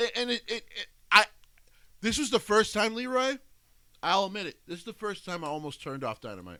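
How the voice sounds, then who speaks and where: A man's high, bright, sharp voice, raised and projected, animated with lively intonation, big swings in loudness, and long, frequent pauses. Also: fairly quick pace. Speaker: wrestling podcast co-host. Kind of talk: casual chat. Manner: halting, repeats words.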